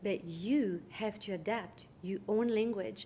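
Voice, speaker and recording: A woman's somewhat breathy voice stays at a medium pitch with fairly even intonation. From Switzerland, French-speaking Geneva. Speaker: international business consultant. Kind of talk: interview answer.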